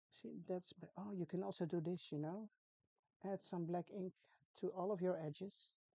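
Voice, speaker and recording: Delivered at a moderate pace with long, frequent pauses, the voice has a dark, mellow tone, a Dutch accent, monotone, flat intonation and a dry, close sound with no echo. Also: woman, fairly low pitch for a woman. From Netherlands. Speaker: craft tutorial creator. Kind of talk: tutorial. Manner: casual, chatty with hesitations.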